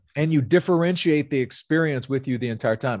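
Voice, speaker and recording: Over a quiet background, a man with a Southern US accent speaks at a fairly quick pace and a fairly high pitch with ordinary pitch variation. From US South, North Louisiana. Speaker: sales executive and pastor. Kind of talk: interview conversation.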